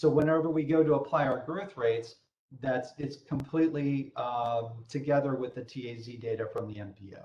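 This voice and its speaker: A man's somewhat breathy, fairly high voice with a dark, mellow tone, big swings in loudness, and ordinary pitch variation. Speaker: software trainer. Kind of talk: tutorial. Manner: fast.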